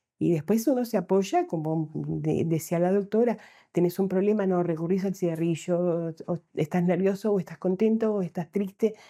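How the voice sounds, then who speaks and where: A woman with a dark, mellow tone speaks at a medium pitch and a fairly slow pace with ordinary pitch variation, in a very clean recording with a silent background. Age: 70s. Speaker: former smoker. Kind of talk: testimony.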